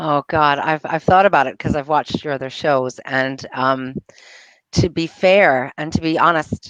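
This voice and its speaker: Spoken at a moderate pace in a New York accent, the voice has ordinary pitch variation and a dry, close sound with no echo. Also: woman, very deep, low pitch for a woman. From US, New York. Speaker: entrepreneur, bookkeeper. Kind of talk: casual interview chat. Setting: live video show. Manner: halting, many fillers and restarts.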